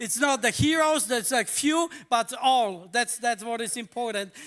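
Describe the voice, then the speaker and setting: Against a very clean recording with a silent background, a man projects a raised voice of extremely high pitch and bright, sharp tone at a fairly slow pace. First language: Polish. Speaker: pastor. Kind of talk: sermon. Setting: church. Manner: casual.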